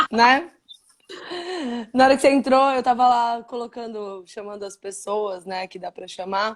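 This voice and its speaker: Pausing long and often, a woman talks at a fairly slow pace with a fairly high pitch and ordinary pitch variation. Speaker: live stream interviewer. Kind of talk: casual interview chat. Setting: live video stream.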